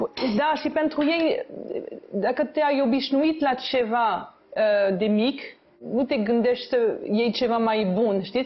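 A woman's high voice moves at a fairly slow pace with ordinary pitch variation. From France. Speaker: mayor. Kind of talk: casual chat. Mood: relaxed, friendly. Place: home room. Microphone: lapel.

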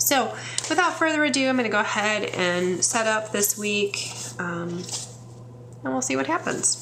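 Relaxed in tone, a woman with an American accent speaks at a moderate pace with very wide pitch swings and long, frequent pauses over light background noise. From US Midwest. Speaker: English professor and planner video creator. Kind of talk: casual tutorial, planner walkthrough; casual tutorial chat. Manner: chatty, relaxed with fillers.

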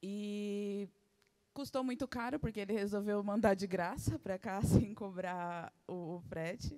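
Over a quiet background, a woman with a Brazilian accent speaks in a dark, mellow tone with ordinary pitch variation. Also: moderate pace. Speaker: interpreter. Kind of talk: live interpretation. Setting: venue with live audience. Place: hall. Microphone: handheld.

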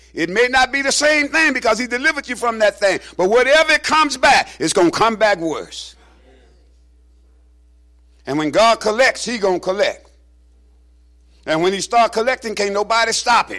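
Against a quiet background, a man projects a raised voice with a bright, sharp tone at a moderate pace, leaving long, frequent pauses. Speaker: pastor preaching. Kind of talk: sermon. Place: church.

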